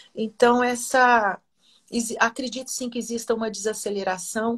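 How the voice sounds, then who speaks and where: A woman speaks at a fairly high pitch. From Minas Gerais, Brazil (Oliveira). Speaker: singer and researcher. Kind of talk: interview.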